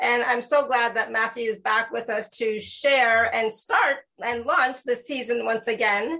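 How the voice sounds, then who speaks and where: In a plain, everyday voice, a woman speaks at a fairly slow pace with hardly any pauses, her fairly high pitch held to a fairly even intonation. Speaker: spiritual talk show host. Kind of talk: casual interview. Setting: live video stream.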